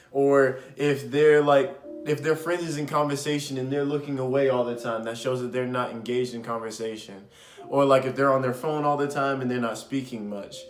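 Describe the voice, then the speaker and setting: A man talking at a fairly quick pace, with audible room echo and music in the background. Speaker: podcast host. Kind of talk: casual advice talk. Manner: loud; animated.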